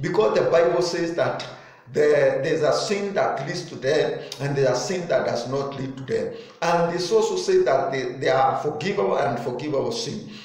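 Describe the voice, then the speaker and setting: Room echo is audible as a man speaks at a moderate pace. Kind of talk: sermon. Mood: earnest, preaching tone. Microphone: phone near.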